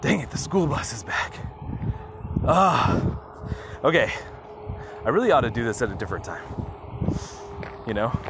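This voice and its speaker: Amid audible room echo and noticeable background noise, a man of medium pitch speaks at a moderate pace with very wide pitch swings and long, frequent pauses. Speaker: podcaster. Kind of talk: casual monologue. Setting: outdoors, walking. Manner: halting.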